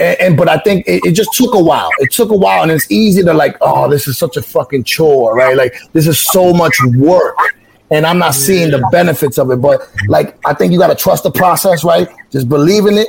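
Speaking fairly quickly in a New York accent, a man uses a high pitch and lively intonation while his loudness stays very even. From New York City, the Bronx / Highbridge. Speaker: website founder. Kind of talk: interview.

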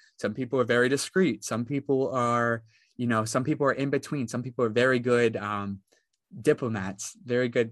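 An American accent colors a man's medium-pitched voice, delivered at a fairly quick pace with ordinary pitch variation and a dry, close sound with no echo. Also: quiet background. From West Virginia, rural. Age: 20s. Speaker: cybersecurity student. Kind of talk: casual interview. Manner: halting, many fillers.

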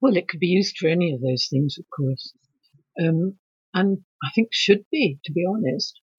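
Somewhat breathy and fairly low in pitch, a woman speaks with lively intonation in a dry, close sound with no echo. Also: moderate pace. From England. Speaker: author and painter. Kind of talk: interview. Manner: halting.

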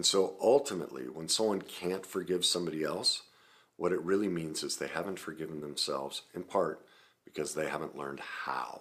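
With a very deep, low voice, a man talks at a fairly quick pace and ordinary pitch variation. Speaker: self-help coach. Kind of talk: instructional talk to camera. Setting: video recording to camera. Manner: confident, calm when explaining; nervous, slightly awkward on camera.

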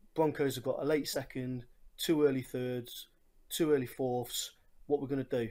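With a strong English accent, a man talks at a moderate pace in a medium-pitched, dark, mellow voice with monotone, flat intonation. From England, Nottingham. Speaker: listener sending voice message. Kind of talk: recorded voice message.

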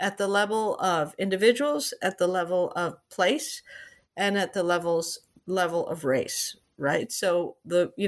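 The voice has an American accent and ordinary pitch variation. The recording is very clean, with a silent background. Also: woman. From Peru and the US. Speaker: economist and author. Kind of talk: interview. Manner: halting, many fillers and restarts.

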